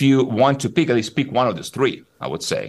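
Vocal fry in a very clean recording with a silent background. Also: man. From Italy, South Tyrol. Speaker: neuroscientist and psychologist. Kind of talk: casual chat.

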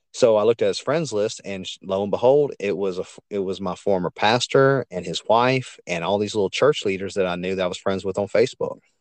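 With a Louisiana accent, a man of fairly low pitch talks fairly quickly with hardly any pauses and ordinary pitch variation, in a dry, close recording with no echo and a quiet background. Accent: Louisiana Southern US. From Louisiana, US South. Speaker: podcaster and truck driver. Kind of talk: casual interview chat. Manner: animated.

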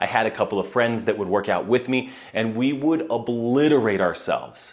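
A man with an unremarkable speaking voice, medium pitch and a moderate pace. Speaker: podcast host and CrossFit athlete. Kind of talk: casual monologue.

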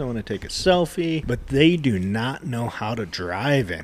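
This man, with an American accent, speaks with very wide pitch swings. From US West, Reno, Nevada. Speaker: barbecue podcast co-host and smoker builder. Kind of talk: casual chat.

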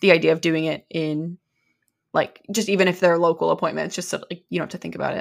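In a very clean recording with a silent background, a woman speaks at a very fast pace in a fairly low pitch, with vocal fry and flat, monotone intonation. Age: 20s. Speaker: podcast co-host. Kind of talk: casual chat.

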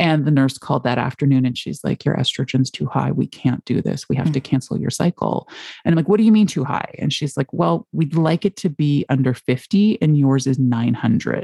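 A woman with a very deep, low, dark and mellow voice speaks at a fairly quick pace with vocal fry and lively intonation. She takes hardly any pauses, and the sound is dry and close with no echo. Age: 40s. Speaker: infertility patient sharing her story. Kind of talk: casual interview about personal experience.

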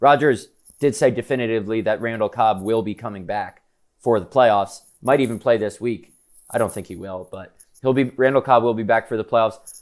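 Speaking fairly quickly in an American accent, a man uses a medium pitch and fairly even intonation in an unremarkable speaking voice. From New York City / Connecticut area. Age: 20s. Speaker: sports reporter and podcast host. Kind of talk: casual chat. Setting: stadium press box.

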